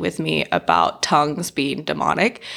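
A woman speaks at a moderate pace with a bright, sharp tone. There is vocal fry in her voice. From Southern California. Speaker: marriage and family therapist. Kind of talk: casual interview chat.

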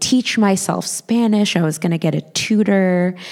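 This woman has an unremarkable speaking voice, fairly low in pitch. She talks at a fairly slow pace with ordinary pitch variation. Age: 30s. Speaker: storyteller. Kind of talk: live storytelling. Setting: stage with audience.

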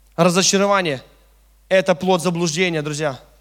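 Animated in tone, a man with a high pitch talks on a very clean recording with a silent background. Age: 30s. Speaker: preacher. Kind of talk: sermon.

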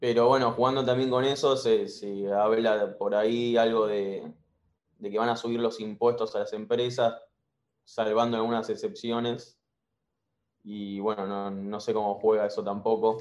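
A man at a medium pitch, monotone and flat, at a fairly slow pace. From Argentina. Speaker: caller, university student. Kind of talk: casual chat.

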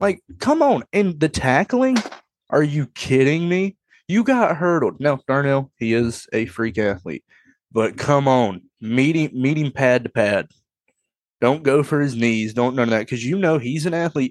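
A man's fairly high, plain, everyday voice with lively intonation, in a dry, close sound with no echo. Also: fairly slow pace. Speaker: sports podcast host. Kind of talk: casual chat.

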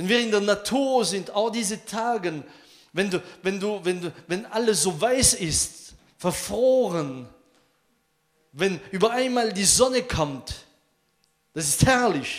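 In a room with audible echo, a man speaks at a very slow pace with long, frequent pauses. His high voice has lively intonation. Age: 50s. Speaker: pastor. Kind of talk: sermon. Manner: halting.

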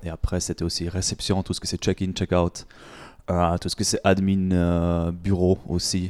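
With a German accent, a man speaks in a monotone, flat way at a very deep, low pitch on a very clean recording with a silent background. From Germany. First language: German (speaking French). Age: 20s. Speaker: fitness coach and gym owner. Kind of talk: interview. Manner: halting.

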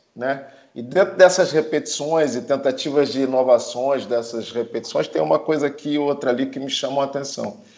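A man talks at a moderate pace in a normal speaking voice. His pitch is fairly high, with ordinary pitch variation. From Brazil. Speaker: film producer. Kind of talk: casual chat.

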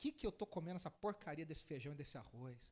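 A man is speaking. His intonation is lively. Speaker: pastor. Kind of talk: sermon.

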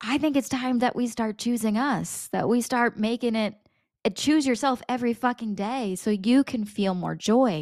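At a moderate pace, a woman talks in a fairly high pitch with ordinary variation, on a very clean recording with a silent background. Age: 30s. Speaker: business coach and podcast host. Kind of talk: motivational monologue. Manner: animated.

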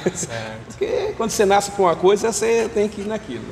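A man is heard with noticeable background noise. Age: 60s. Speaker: street chocolate vendor. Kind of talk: casual interview. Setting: outdoors.

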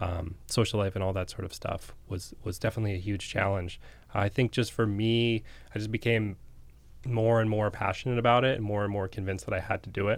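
Fairly quick, fairly low-pitched speech from a man with an ordinary speaking voice and fairly even intonation, on a very clean recording with a silent background. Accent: American. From Massachusetts, near Boston. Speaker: restaurant owner. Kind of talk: interview.

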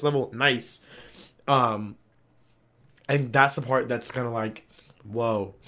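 Bright and sharp in tone, a man with an American accent speaks at medium pitch with fairly even intonation. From Columbus, Ohio. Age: 20s. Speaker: podcast guest. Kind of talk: casual chat.

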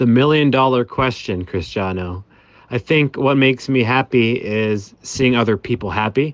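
In an American accent, a man with an unremarkable speaking voice and a medium pitch talks at a moderate pace with ordinary pitch variation, the sound dry and close with no echo. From Massachusetts, US (Boston area). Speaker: DJ and event organizer. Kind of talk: interview.

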